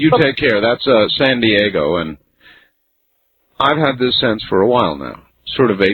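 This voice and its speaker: Using a plain, everyday voice, a man speaks at a fairly slow pace and medium pitch with lively intonation. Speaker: late-night talk radio host. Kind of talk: live overnight talk radio hosting.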